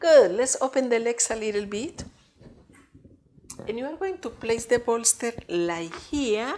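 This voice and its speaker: A woman talks with very wide pitch swings. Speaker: yoga teacher. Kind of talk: guided yoga class. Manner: calm, soothing. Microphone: mic pressed into bolster, muffled.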